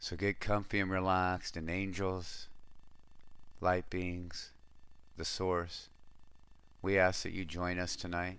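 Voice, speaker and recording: A man with a very deep, low pitch speaks at a very slow pace in a soothing, calm tone. His intonation is monotone and flat, with long, frequent pauses. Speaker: spiritual radio host and meditation guide. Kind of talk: guided meditation. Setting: studio. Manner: slow, soothing, calm; gentle, warm, with long pauses.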